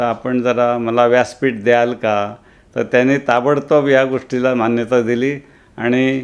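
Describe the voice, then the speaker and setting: Medium pitch and monotone, flat intonation from a man. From Kaman village, Vasai area, Maharashtra. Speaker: retired revenue officer and author. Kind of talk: interview.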